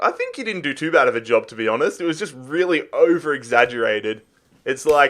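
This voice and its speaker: With an Australian accent, the speaker talks at a very fast pace. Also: man. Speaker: gaming youtuber. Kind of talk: casual chat.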